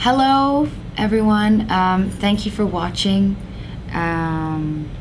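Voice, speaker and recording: The speaker talks at a very slow pace with lively intonation. Audible room echo and noticeable background noise fill the recording. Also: woman, medium pitch for a woman. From England. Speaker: soap opera actress. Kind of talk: interview. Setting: magazine office. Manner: hesitant, many fillers and repeats.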